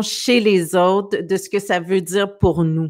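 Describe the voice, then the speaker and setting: A woman talks at a very slow pace with a quiet background. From Quebec. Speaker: talk show host; show host. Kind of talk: casual interview. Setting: video call livestream. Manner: hesitant, many fillers. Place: home room. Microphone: studio mic.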